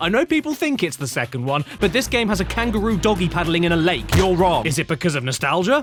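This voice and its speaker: Over noticeable background noise, a man talks very fast in a high pitch. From Britain. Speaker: video game reviewer. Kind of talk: sleep-friendly gaming commentary. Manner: comedic, sarcastic.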